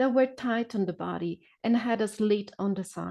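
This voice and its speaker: A woman with a non-native accent speaks at a fairly slow pace with fairly even intonation. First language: not English. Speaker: novelist. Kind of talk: reading aloud; casual chat. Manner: hesitant, many fillers.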